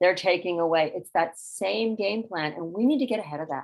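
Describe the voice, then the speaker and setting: A normal speaking voice at a fairly quick pace with ordinary pitch variation. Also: woman. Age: 60s. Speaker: climate advocate. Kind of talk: panel discussion.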